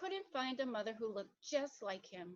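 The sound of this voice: A woman's fairly high voice at a fairly slow pace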